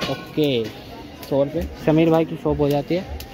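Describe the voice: Over faint background noise, a man with a fairly high pitch and a dark, mellow tone talks at a fairly slow pace with little pitch movement.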